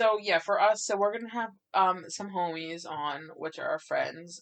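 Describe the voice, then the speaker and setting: A woman with an unremarkable speaking voice talks at a fairly slow pace, her medium pitch showing ordinary variation. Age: young. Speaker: podcast co-host. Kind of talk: casual chat.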